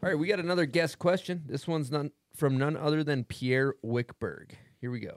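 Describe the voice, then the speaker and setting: A man's fairly high-pitched voice, an ordinary speaking voice, at a moderate pace with ordinary pitch variation, in a dry, close sound with no echo. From US South. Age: 30s. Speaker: podcast host. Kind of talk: casual chat.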